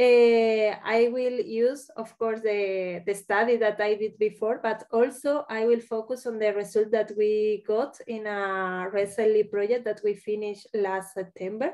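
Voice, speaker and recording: A woman speaks with a dark, mellow tone at a fairly high pitch, her intonation fairly even. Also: fairly slow pace. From Spain. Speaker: university social worker and educator. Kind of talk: webinar presentation. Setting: online webinar. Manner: halting, many hesitations.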